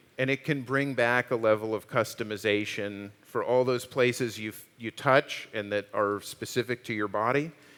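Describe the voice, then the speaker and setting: A man with a normal speaking voice talks at a moderate pace and medium pitch, with fairly even intonation and hardly any pauses, on a very clean recording with a silent background. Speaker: architect and designer, professor. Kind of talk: panel Q&A on stage.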